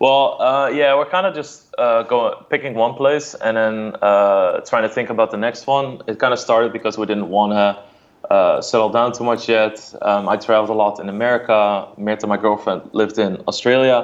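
A man with a Dutch accent talks at a moderate pace and medium pitch, with ordinary pitch variation and hardly any pauses. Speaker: poker streamer. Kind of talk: casual chat. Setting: video call.

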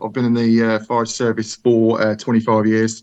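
A man speaks with a Brummie accent. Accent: Brummy (Birmingham English). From Birmingham, England. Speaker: listener, superfan. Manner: nervous.

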